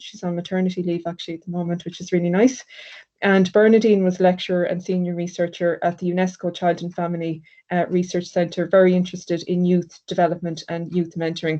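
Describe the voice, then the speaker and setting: A woman's very fast Irish accent, medium in pitch, with a dark, mellow tone. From Ireland. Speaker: sociology lecturer. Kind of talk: academic presentation. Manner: hesitant with fillers.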